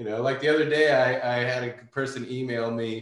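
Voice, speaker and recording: Fairly even intonation and a moderate pace mark an ordinary speaking voice. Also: man. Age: 30s. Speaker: coating company owner and detailer. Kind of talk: casual interview chat.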